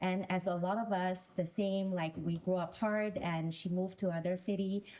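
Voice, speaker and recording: With a Chinese accent, a woman talks in a dark, mellow tone, her loudness very even and her intonation monotone and flat. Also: medium pitch for a woman, moderate pace. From China. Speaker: panelist. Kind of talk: panel discussion. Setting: stage with audience.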